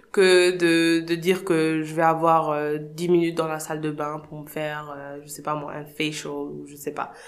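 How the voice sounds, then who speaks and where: A woman talks at a fairly slow pace in a fairly low voice. Audible room echo surrounds her. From Senegal. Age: 30s. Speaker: founder of a parenting platform, mother. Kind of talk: casual interview. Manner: hesitant, many fillers.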